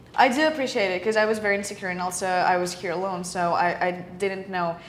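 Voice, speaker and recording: Talking very fast with a Ukrainian accent, a woman keeps a medium pitch and ordinary pitch variation, with noticeable background noise and audible room echo. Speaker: film student, podcast co-host. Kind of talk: casual chat. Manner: halting.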